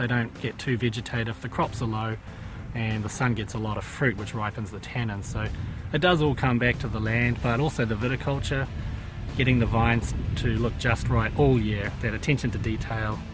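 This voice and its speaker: With music in the background, a man with a New Zealand accent talks at a medium pitch with ordinary pitch variation. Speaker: winemaker. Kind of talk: interview.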